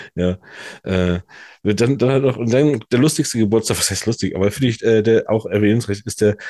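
A man speaks at a fairly quick pace with a medium pitch and lively intonation. The sound is dry and close with no echo, against a quiet background. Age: 40s. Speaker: podcast co-host. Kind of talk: casual chat. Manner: halting, many fillers.

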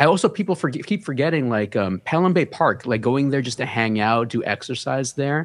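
A man speaks in a New York accent. His intonation is lively. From New York City, the Bronx (Hunts Point). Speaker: fashion and gaming content creator. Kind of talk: casual interview.

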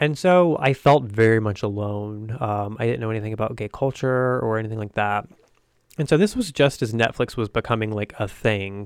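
A man with a plain, everyday voice and an American accent talks at a moderate pace with ordinary pitch variation, in a very clean recording with a silent background. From US South. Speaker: video podcast host, actor and filmmaker. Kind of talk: solo video commentary. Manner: casual, many filler ums.

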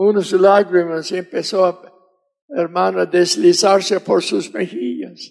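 Very slowly, a man speaks with an English accent. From US South. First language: English (speaking Spanish). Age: 80s+. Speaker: missionary preacher. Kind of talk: sermon.

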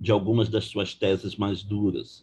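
The voice belongs to a man and sits at a fairly low pitch. It is somewhat breathy. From Brazil, Belém, Pará. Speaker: law professor. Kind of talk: lecture-style interview.

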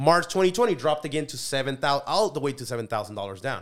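A man with a Spanish accent speaks very fast with lively intonation. Music plays in the background. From Mexico (Colima), raised in California's Central Valley from age 11. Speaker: business consultant and CEO. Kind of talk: casual interview.

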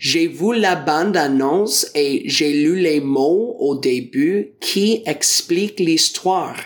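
In an English accent, a man speaks at a very slow pace with lively intonation. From Ontario, Canada. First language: English (speaking French). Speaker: teacher and French learner. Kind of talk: prepared talk for learners. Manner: careful learner pace.

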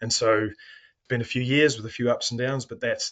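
Talking at a fairly quick pace, the man keeps a monotone, flat intonation. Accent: New Zealand. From New Zealand. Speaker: mining company executive. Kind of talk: interview.

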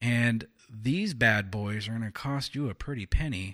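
Lively intonation marks this man's medium-pitched, American-accented speech, a normal speaking voice. The recording is very clean, with a silent background. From California. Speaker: political podcast co-host. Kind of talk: casual political discussion.

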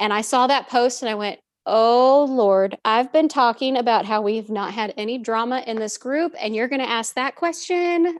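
A woman speaks in a high voice with an American accent, at a moderate pace with ordinary pitch variation. Her tone is animated, and the recording is very clean with a silent background. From Southern California. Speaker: learning and development professional. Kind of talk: casual chat.

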